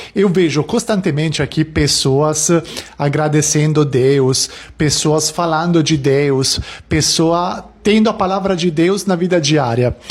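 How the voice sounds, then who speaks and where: A man's fairly high voice with an Italian accent, very slow pace, ordinary pitch variation and very even loudness. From Italy. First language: Italian (speaking Portuguese). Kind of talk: casual vlog talk.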